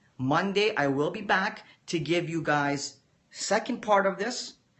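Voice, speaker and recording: In a room with audible echo, a man talks at a fairly slow pace with lively intonation. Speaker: forex trader and trading educator. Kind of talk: live-stream lecture to viewers. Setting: live video stream. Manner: calm, measured teacher-like delivery.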